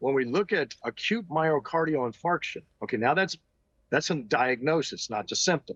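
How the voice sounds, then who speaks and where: In an ordinary speaking voice, a man talks at a moderate pace with a fairly high pitch and lively intonation, the sound dry and close with no echo. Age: 60s. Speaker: retired army officer and doctor. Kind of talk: interview.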